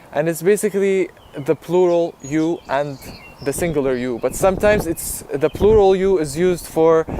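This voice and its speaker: Noticeable noise fills the background as someone talks at a moderate tempo. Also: man, high pitch for a man, ordinary pitch variation. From Jordan. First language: Arabic. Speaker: YouTuber. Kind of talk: personal vlog talk. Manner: casual, with filler ums.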